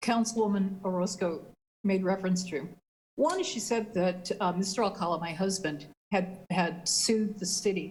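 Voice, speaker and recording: A woman with an American accent speaks at a moderate pace. Room echo is audible. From US West, West Sacramento, California. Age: 60s. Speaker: city council member. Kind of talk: council meeting debate.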